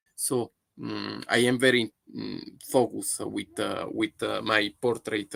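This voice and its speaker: A man speaks with an Italian accent at a fairly slow pace. The sound is dry and close, with no echo. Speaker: photographer. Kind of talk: live stream monologue. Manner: halting, many fillers.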